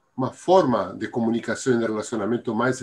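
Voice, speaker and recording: A man talks at a moderate pace with a Spanish accent. His pitch is medium, with ordinary pitch variation. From Argentina. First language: Spanish (speaking Portuguese). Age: 70s. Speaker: Biodanza teacher. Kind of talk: interview. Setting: live stream. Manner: halting.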